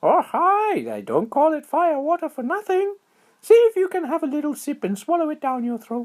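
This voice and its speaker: A squeaky, high-pitched put-on character voice is heard. It moves at a moderate pace. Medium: read story. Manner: starts every line with "oh, hi".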